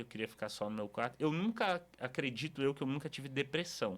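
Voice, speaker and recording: Lively intonation shapes the speech of a man whose pitch sits fairly high. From Brazil, Espírito Santo (Cariacica). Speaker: pastor. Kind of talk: podcast interview, personal testimony. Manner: casual, conversational.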